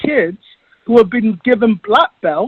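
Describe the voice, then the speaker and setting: A man talks with an English accent. His intonation is lively. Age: 60s. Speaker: Muay Thai champion. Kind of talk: interview.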